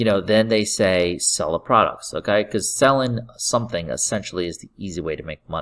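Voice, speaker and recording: A man speaks in an upbeat tone. The recording is very clean, with a silent background. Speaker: podcast host and online marketer. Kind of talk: sales pitch. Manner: pushy pitchman, upbeat and persuasive, hyping easy money and leads; fast, repetitive, direct-address patter with catchphrases.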